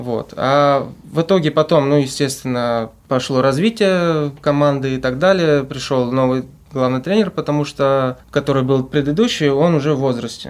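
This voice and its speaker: Here is a man with an unremarkable speaking voice and ordinary pitch variation, going at a moderate pace. The recording is very clean, with a silent background. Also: fairly high pitch for a man. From Russia, Volgograd. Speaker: student football team captain. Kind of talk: interview.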